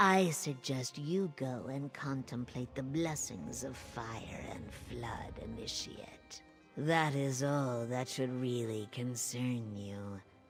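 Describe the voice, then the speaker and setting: Clear music plays in the background. A put-on character voice speaks at a very slow pace in a low-to-middle pitch. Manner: very slow talking.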